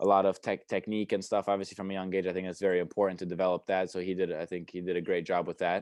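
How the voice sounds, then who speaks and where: A man's very deep, low voice with an American accent, very fast and flat in a monotone, with hardly any pauses. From US, New York and Chicago. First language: Romanian. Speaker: college tennis player. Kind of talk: interview.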